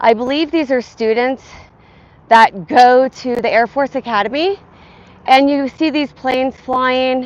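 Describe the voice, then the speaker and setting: Speaking at a very slow pace, a woman has a high pitch with ordinary pitch variation. Her accent is American. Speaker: fitness vlogger. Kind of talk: casual live-stream chat while walking.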